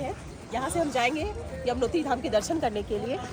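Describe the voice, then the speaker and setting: Crowd noise fills the background as a woman speaks in a high pitch with lively intonation. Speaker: travel vlogger. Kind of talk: travel vlog narration. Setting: outdoors on pilgrimage route.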